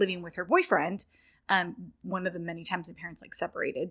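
A bright, sharp tone with an American accent on a very clean recording with a silent background. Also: woman. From Northern California, near Sacramento. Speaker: young adult fiction author. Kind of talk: interview. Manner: hesitant, many fillers.

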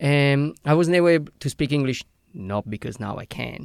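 A man speaks in an Italian accent at medium pitch and a moderate pace, with ordinary pitch variation. The sound is dry and close with no echo, in a very clean recording with a silent background. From Italy. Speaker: skydiving instructor. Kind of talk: casual chat. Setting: studio. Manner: halting.

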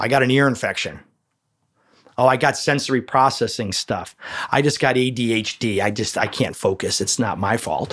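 An animated man with a Chicago accent, medium pitch, ordinary pitch variation and a moderate pace. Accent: Chicago American. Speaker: chiropractor. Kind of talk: interview. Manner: loud.

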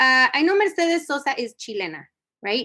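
A woman's raised, projected voice with an American accent, high pitch, a bright, sharp tone, very wide pitch swings and a moderate pace, over a quiet background. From US-Mexico border. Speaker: singer-songwriter and educator. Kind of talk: casual interview.

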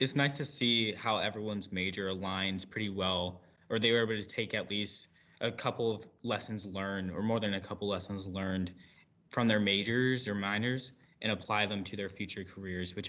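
A normal speaking voice from a man, fairly low in pitch, at a moderate pace with fairly even intonation. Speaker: panel moderator, military cadet. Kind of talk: moderated panel discussion.

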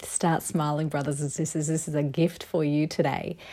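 This woman's voice has a dark, mellow tone. It sounds soothing and gentle. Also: very clean recording, silent background. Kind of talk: guided meditation. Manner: soothing, gentle, slow-paced; warm, encouraging, fervent.

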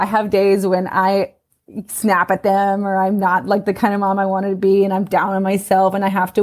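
Using a normal speaking voice, a woman with an American accent talks at medium pitch and a fairly quick pace. The recording is very clean with a silent background. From US West Coast, Los Angeles. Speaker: parent coach. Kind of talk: interview conversation.

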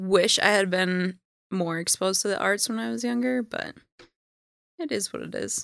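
A woman speaks at a moderate pace, with long, frequent pauses and big swings in loudness. The sound is dry and close, with no echo. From Minnesota. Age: 30s. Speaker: interview guest sharing her life story. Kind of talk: casual interview.

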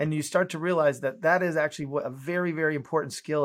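Heard on a very clean recording with a silent background, a man with a fairly high pitch uses a normal speaking voice at a fairly quick pace. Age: 50s. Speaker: innovation consultant and teacher. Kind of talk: interview.

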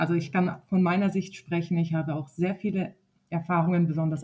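A woman speaks at a fairly quick pace in a fairly low pitch, her tone dark and mellow. Her voice is somewhat breathy, with fairly even intonation. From southern Germany (Wertheim, Baden-Württemberg). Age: 30s. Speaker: nursery teacher and dance instructor. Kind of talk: casual conversation.

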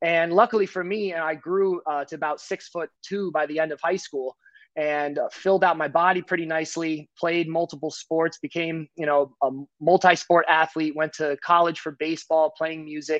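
In an American accent, an unremarkable speaking voice moves at a moderate pace with fairly even intonation. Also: man, fairly high pitch for a man. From US Northeast, New Jersey. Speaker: financial professional and martial artist. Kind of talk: casual interview chat.

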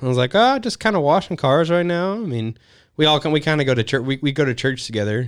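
The voice carries a Texan accent. The recording is very clean, with a silent background. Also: man. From Texas, Houston area. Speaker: hunting and wedding photographer. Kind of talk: casual chat.

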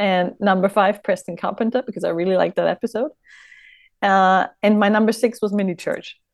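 A woman with a German accent speaks at a medium pitch and a fairly quick pace. Her intonation is fairly even, against a quiet background. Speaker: fan. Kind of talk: casual chat.

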